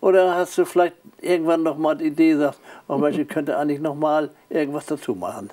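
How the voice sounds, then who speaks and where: A man's fairly high, dark, mellow voice at a very fast pace, with fairly even intonation, over a quiet background. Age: 70s. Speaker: talk show host. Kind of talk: interview; show outro. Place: studio. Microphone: lapel.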